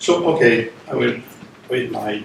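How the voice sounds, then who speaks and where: With a French accent, a man speaks very slowly amid noticeable background noise and audible room echo. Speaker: philosophy professor, lecturer. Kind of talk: lecture, reading a paper. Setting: institute lecture room with online audience.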